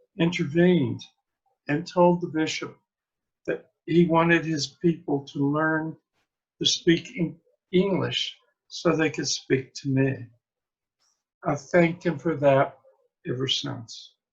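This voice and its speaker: Speaking at a very slow pace, a man keeps a fairly even intonation and leaves long, frequent pauses. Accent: Appalachian. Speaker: priest and blogger. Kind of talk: reading aloud own blog posts. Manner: casual, halting with fillers.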